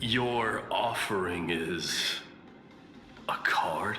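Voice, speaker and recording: Over clear background noise, a man whispers in a put-on character voice. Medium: video game. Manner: cool, condescending.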